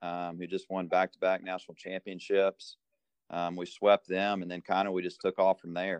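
A man with a very deep, low voice speaks at a moderate pace in a flat monotone. His loudness swings widely, and the sound is dry and close with no echo. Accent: American. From US South, Georgia. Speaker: college baseball coach. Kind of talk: interview. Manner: casual, many fillers.

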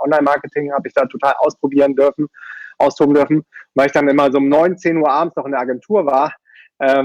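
A man speaks at a very fast pace, his voice fairly high for a man. The sound is dry and close, with no echo. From Germany, Düsseldorf. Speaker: online entrepreneur. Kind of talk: interview.

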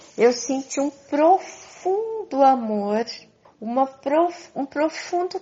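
A high-pitched woman with lively intonation at a very slow pace, music in the background. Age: 60s. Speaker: spiritual teacher. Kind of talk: monologue to followers.

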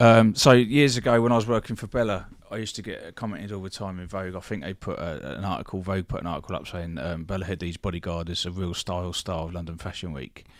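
In a British accent, a man with a very deep, low pitch talks at a very fast pace with hardly any pauses, ordinary pitch variation and big swings in loudness, on a very clean recording with a silent background. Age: 40s. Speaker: former bodyguard and security business owner. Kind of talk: casual chat.

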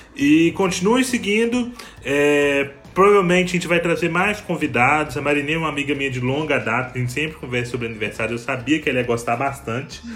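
Over noticeable background noise, a man speaks at a fairly quick pace with a fairly high pitch and lively intonation. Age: 20s. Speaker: podcast host. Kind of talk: casual chat. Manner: animated.

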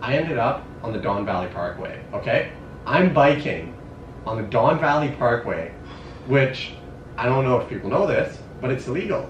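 Noticeable background noise fills the clip. A man talks with lively intonation. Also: medium pitch for a man, moderate pace. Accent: Canadian. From Canada, Sudbury, Ontario. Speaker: university student and runner. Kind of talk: casual chat. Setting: in person, Berlin.

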